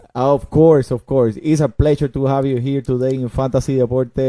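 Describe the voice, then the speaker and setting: With a Spanish accent, a man at medium pitch talks at a moderate pace in a dark, mellow tone, the sound dry and close with no echo. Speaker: podcast host. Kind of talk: casual chat. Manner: animated.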